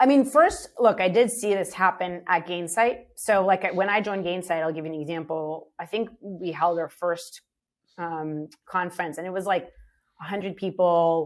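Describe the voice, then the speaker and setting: Her loudness swings widely as a woman talks at a moderate pace in a medium pitch with ordinary pitch variation. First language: not English. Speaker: startup CEO. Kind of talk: interview conversation. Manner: casual, many fillers.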